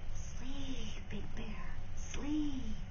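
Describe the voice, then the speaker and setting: A woman's whispered, put-on character voice over loud background noise. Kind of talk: bedtime story. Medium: read story.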